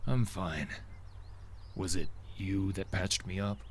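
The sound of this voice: A man puts on a character voice with very deep, low pitch at a fairly slow pace. Clear background noise can be heard.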